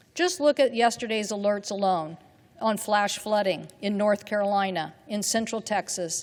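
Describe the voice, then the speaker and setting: This woman has a normal speaking voice. She speaks at a moderate pace with ordinary pitch variation. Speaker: US senator. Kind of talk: Senate floor speech.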